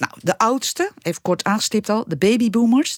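In an ordinary speaking voice, a woman talks at a moderate pace with a fairly high pitch and lively intonation, the sound dry and close with no echo. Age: 50s. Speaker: podcast co-host, former radio newsroom manager. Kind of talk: casual podcast discussion.

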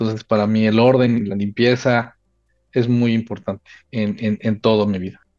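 A man's medium-pitched, monotone, flat delivery at a moderate pace, with a dry, close sound with no echo and a quiet background. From Mexico. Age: 40s. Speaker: telecom and data center executive. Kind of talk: interview. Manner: halting, many fillers and repetitions.

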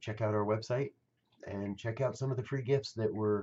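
Somewhat breathy man at a fairly low pitch, moderate pace and fairly even intonation. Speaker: meditation leader. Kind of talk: guided meditation. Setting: online broadcast. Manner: soft-spoken, reassuring.

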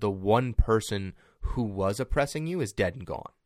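A man's unremarkable speaking voice, fairly low and fairly slow, on a very clean recording with a silent background. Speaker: podcast co-host. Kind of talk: casual chat.

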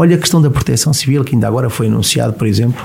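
A man is talking, and background noise can be clearly noticed. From Portugal, Viseu. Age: 40s. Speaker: politician. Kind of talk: interview.

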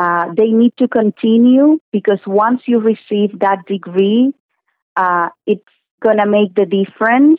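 With a Spanish accent, a woman speaks at a fairly slow pace and fairly high pitch, with ordinary pitch variation. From Cuba. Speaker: social work graduate. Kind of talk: radio interview.

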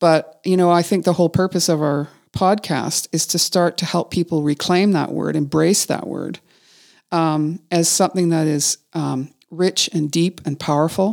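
A plain, everyday voice with a Canadian accent, moderate pace and fairly even intonation, in a dry, close sound with no echo. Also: woman, fairly low pitch for a woman. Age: 50s. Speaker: podcast host, writer and executive coach. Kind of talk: casual conversation between friends.

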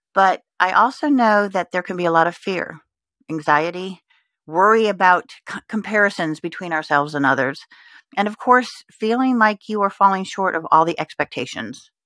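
With a bright, sharp tone and lively intonation, a woman at a medium pitch speaks at a moderate pace in a very clean recording with a silent background and a dry, close sound with no echo. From Texas and Indiana (Richmond, from age 12). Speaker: podcast host and life coach. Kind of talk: solo reflective monologue.

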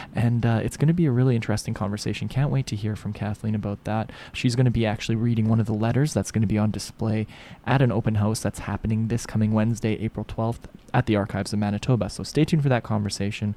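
With a Canadian accent, a man talks very fast in a fairly low pitch and fairly even intonation. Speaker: radio host. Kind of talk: radio interview. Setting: studio.

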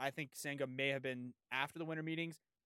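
On a very clean recording with a silent background and a dry, close sound with no echo, a man with an American accent has an ordinary speaking voice, a fairly high pitch and ordinary pitch variation. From San Diego, California. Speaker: sports podcast host. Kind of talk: casual interview chat.

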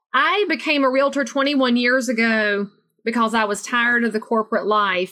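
A woman speaks at a moderate pace with a Southern US accent. Her fairly high voice has a bright, sharp tone and fairly even intonation. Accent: Southern US, noticeable. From US South, North Carolina. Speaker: realtor and motivational speaker. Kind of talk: casual interview chat.

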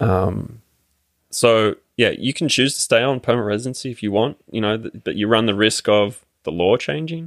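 An Australian-accented man at medium pitch, with ordinary pitch variation, in a dry, close recording with no echo. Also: moderate pace. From Australia, Sydney. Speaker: immigrant sharing citizenship experience. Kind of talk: casual interview conversation. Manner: halting, many fillers.

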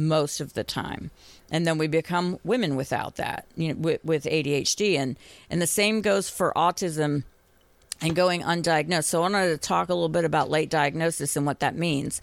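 A woman speaks in a normal speaking voice, fairly low in pitch, at a moderate pace with fairly even intonation, in a very clean recording with a silent background. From Boston. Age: 50s. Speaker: licensed professional counselor. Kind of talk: podcast interview.

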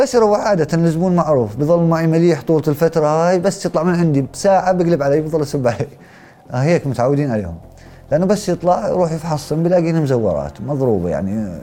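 This man's fairly high voice has a dark, mellow tone, lively intonation and a fairly quick pace. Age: 30s. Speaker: former convict, painter and plasterer. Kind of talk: testimony.

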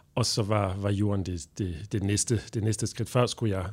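Moderately paced speech from a man, with ordinary pitch variation. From Belgium. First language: French (speaking Danish). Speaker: translator and interpreter. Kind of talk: interview. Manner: halting.

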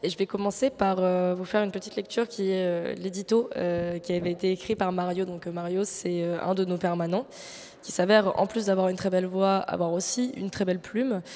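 A woman talks in a plain, everyday voice at medium pitch, keeping a fairly quick pace and fairly even intonation. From Marseille, France. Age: 20s. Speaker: radio host and producer. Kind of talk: live public radio show. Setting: live on stage with audience at arts centre.

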